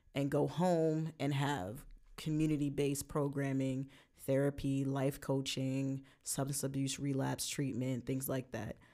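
A woman with a Brooklyn accent speaks in a very deep, low voice with a dark, mellow tone. Her intonation is fairly even, and the recording is very clean with a silent background. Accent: New York (Brooklyn). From Brooklyn, New York. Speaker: podcast co-host, youth justice worker. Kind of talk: casual chat.

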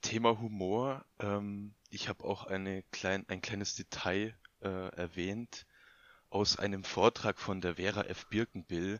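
Pitched fairly low, a man speaks at a very slow pace. His intonation is flat and monotone. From Bavarian Swabia, near Augsburg. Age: 20s. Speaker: podcast guest. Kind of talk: casual chat.

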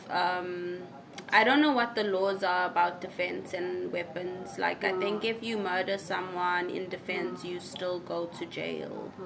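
A woman at a fairly slow pace with ordinary pitch variation, noticeable background noise and audible room echo. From South Africa, KwaZulu-Natal (Pietermaritzburg). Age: 20s. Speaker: art and English teacher. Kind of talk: casual chat.

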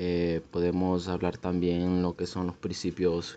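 A man speaks at a very slow pace. His voice is very deep and low, with a dark, mellow tone. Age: 20s. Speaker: physical education student. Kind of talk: student podcast presentation. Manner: halting, with many fillers.

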